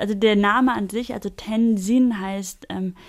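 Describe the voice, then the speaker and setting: A woman at a fairly slow pace with fairly even intonation, on a very clean recording with a silent background. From Germany. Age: 20s. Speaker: buddhist nun. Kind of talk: interview.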